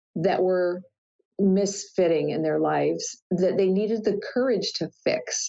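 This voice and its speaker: The speaker has a plain, everyday voice. The pace is moderate and the intonation fairly even. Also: woman. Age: 60s. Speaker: life coach. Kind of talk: interview.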